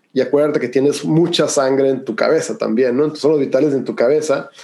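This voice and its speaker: This man talks at a moderate pace with a fairly high pitch and a dark, mellow tone. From Mexico, Hermosillo, Sonora. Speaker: breathwork and cold exposure instructor. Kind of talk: interview conversation.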